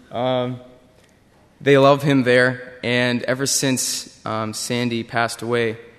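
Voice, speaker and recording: A man speaks at a medium pitch in a monotone, flat way. There is noticeable noise behind him. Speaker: short-term mission team member. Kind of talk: testimony.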